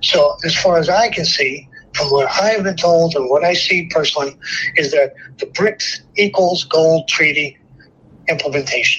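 A high-pitched man's voice with an American accent, amid noticeable background noise. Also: ordinary pitch variation, moderate pace. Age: 70s. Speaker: military veteran.

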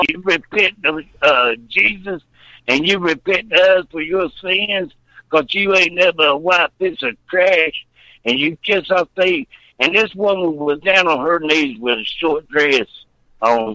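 High-pitched male voice in a Southern US accent, bright and sharp in tone, with lively intonation at a fairly slow pace, in a dry, close sound with no echo. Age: 60s. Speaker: caller. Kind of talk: phone-in call.

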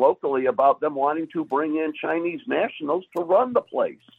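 A man with a high-pitched voice speaks at a moderate pace. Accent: American. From US Midwest, Michigan. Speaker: caller. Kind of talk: casual chat. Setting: video call.

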